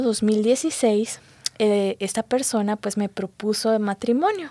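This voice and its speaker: A woman speaks at a very slow pace in a dark, mellow tone. The sound is dry and close with no echo. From Guatemala. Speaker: physician giving church testimony. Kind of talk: testimony.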